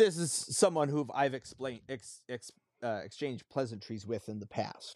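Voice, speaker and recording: This man has a plain, everyday voice at a medium pitch, talking at a moderate pace with lively intonation and big swings in loudness. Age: 40s. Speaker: podcast co-host. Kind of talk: casual chat.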